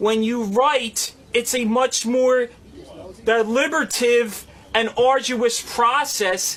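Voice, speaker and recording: Over noticeable background noise, a man with an extremely high pitch speaks at a very slow pace with fairly even intonation. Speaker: radio show regular. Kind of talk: heated debate. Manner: halting.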